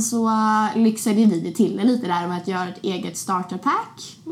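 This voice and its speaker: This woman speaks at a fairly high pitch and a fairly slow pace. Her voice is somewhat breathy, with ordinary pitch variation. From Sweden, Linköping (small town). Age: 20s. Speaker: podcast host. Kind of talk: casual chat.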